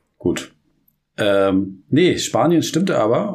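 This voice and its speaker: This clip features a man. His pace is very slow. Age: 40s. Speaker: podcast co-host. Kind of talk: casual chat. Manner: halting.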